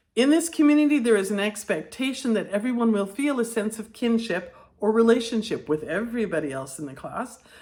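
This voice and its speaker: With a dark, mellow tone and a fairly high pitch, a woman talks at a fairly quick pace with hardly any pauses and very wide pitch swings. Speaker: teacher trainer, former classroom teacher. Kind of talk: educational video talk. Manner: partly reading from notes.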